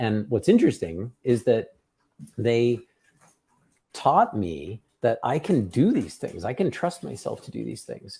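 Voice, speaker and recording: The voice is dark and mellow, somewhat breathy, moving at a fairly slow pace with lively intonation. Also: man. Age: 50s. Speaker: tech company founder and podcast host. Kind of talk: casual podcast chat.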